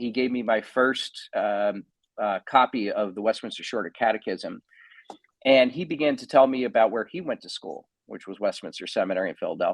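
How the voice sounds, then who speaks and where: A man speaks at medium pitch with a New Jersey accent. His pace is moderate, and the sound is dry and close with no echo. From New Jersey (Edison). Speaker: pastor and theologian. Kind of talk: podcast interview, personal testimony. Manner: hesitant, many fillers and restarts.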